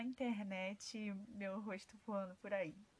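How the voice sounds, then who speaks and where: The voice is somewhat breathy, at a very slow pace with fairly even intonation. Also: woman. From Rio de Janeiro, Brazil. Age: 20s. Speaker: holistic therapist. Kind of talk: podcast monologue. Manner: halting.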